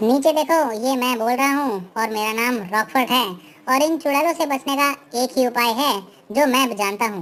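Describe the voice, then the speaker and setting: A high, cartoonish character voice that sounds female. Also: moderate pace. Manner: instructive, urgent.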